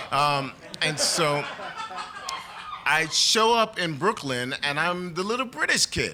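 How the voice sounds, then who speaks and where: Amid noticeable background noise and clear room echo, a man talks with an American accent. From Trinidad and New York. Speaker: storyteller. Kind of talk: live storytelling. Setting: stage with audience. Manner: animated.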